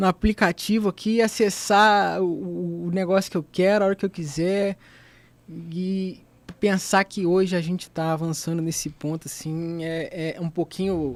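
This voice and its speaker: A man speaks in a high voice at a fairly slow pace. His intonation stays fairly even. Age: 20s. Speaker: university student, podcast presenter. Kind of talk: casual chat. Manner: informal, halting with fillers.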